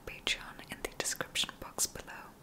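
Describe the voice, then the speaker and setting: A woman is whispering. Her pace is moderate. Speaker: ASMR creator. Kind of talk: ASMR sleep video, soft talk to the viewer. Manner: soft, calming, whispery. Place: home room. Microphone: studio mic.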